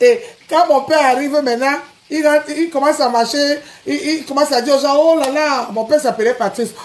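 A woman talks at a fairly quick pace in an animated tone. Her pitch is high, with ordinary variation. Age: 40s. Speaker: social media personality; live streamer. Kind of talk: live stream rant. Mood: angry, combative. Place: home room. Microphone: phone near.

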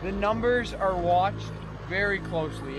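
The sound is dry, with no echo, and clear music plays behind it. A man speaks at a moderate pace. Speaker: angler vlogger. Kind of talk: casual vlog chat. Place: boat. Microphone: camera far.

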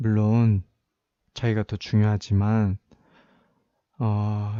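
A man speaks very slowly in a dark, mellow tone. The sound is dry and close with no echo, over a quiet background. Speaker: ASMR roleplay creator. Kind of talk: roleplay of a couple's breakup argument, scripted-sounding. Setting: studio, close-mic ASMR. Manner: tense, firm, defensive yet controlled, reasoning with an upset girlfriend; frustrated, wounded, voice hardening toward the cold breakup.

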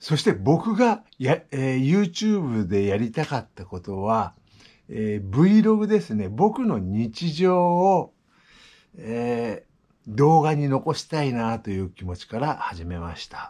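At a very slow pace, a man speaks with a dark, mellow, relaxed tone, his pitch swinging very widely and his loudness shifting a lot. The background is quiet. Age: 60s. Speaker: vlogger. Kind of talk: casual vlog monologue; casual vlog chat. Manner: relaxed, halting with fillers. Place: home room. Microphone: phone near.

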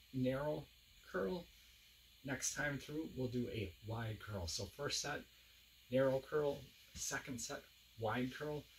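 Light background noise sits behind a man speaking. His pace is very slow, while his intonation stays lively. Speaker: fitness instructor. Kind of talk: workout tutorial. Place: home room. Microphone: camera far.

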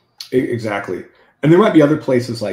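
A somewhat breathy man speaks with ordinary pitch variation amid audible room echo. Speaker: software engineer; podcast guest or host. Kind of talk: technical interview. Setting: video call. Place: home room. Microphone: video call.

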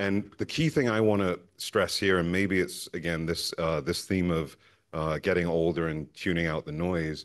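Over a quiet background, a man with a very deep, low voice talks at a moderate pace with fairly even intonation. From born in Harlem, New York; New York City. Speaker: investment consultant, panelist; panelist. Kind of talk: panel discussion. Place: hall. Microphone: handheld.

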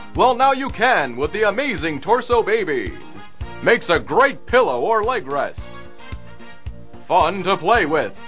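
Extremely high male pitch with very wide pitch swings, a fairly slow pace and long, frequent pauses, over music in the background. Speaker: voice actor. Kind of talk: TV commercial read.

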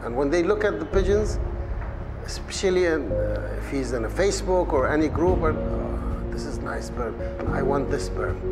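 A man keeps a moderate pace as music plays behind him. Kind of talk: informal talk to a group. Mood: relaxed, instructive. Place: hall. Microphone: lapel.

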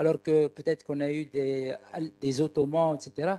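At a very slow pace, a man speaks in a dark, mellow tone. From Tunisia. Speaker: audience member. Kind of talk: audience question. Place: hall. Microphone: handheld.

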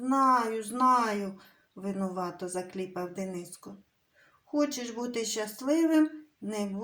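Someone reads aloud naturally. The intonation is lively, against a quiet backdrop.

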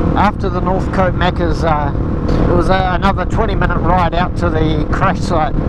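Loud background noise sits behind a man recorded with a dry sound and no echo. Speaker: motorcycle vlogger. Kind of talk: casual vlog chat. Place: motorbike. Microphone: helmet.

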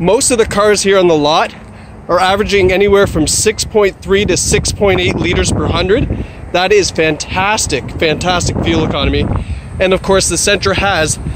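Recorded dry with no echo but noticeable background noise, a man talks at a moderate pace. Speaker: car salesperson. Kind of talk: sales walkaround commentary. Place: street. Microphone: phone near.

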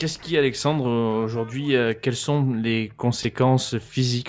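A man speaks at a moderate pace in a medium pitch, his intonation fairly even against a quiet background. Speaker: gaming youtuber. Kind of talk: interview. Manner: calm.

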